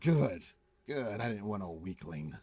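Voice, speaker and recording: A man puts on a raspy character voice with fairly low pitch and very wide pitch swings. He talks at a moderate pace. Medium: actual play. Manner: boastful, taunting.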